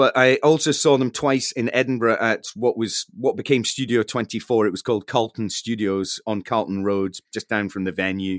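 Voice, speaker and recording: A man with a Scottish accent speaks at a moderate pace and medium pitch, with ordinary pitch variation and hardly any pauses. The sound is dry and close with no echo, in a very clean recording with a silent background. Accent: Scottish (Fife). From Scotland, Fife. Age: 40s. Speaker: radio broadcaster and musician. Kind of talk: interview, casual chat.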